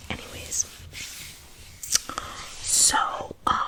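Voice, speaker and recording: A woman whispers while clear background noise can be heard. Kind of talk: ASMR whisper ramble. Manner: whispered; casual, rambling.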